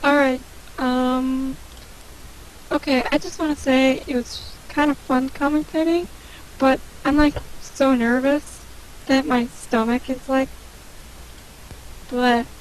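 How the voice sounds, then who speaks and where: A woman speaks very slowly in a high, monotone, flat voice, with long, frequent pauses. Noticeable background noise sits behind her. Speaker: guest co-commentator. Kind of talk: casual chat. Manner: stuttering.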